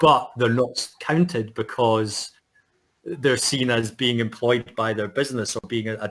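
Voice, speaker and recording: In a Scottish accent, a man speaks at a moderate pace and medium pitch. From Scotland. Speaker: futurist. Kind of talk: interview. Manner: halting, many fillers.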